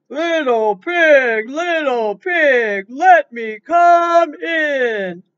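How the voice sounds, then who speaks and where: In a put-on character voice, the high-pitched speaker talks at a very slow pace with hardly any pauses. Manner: menacing, gruff.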